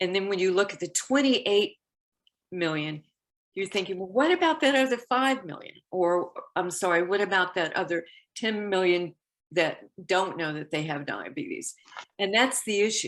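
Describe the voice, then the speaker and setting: Against a quiet background, a woman of medium pitch talks at a moderate pace with lively intonation and long, frequent pauses. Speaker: diabetes health educator. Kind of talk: health education talk.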